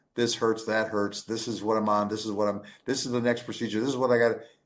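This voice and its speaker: Room echo is audible here. The voice belongs to a man. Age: 60s. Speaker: plant-based diet advocate and heart patient. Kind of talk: interview with live audience. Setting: stage with audience. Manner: animated.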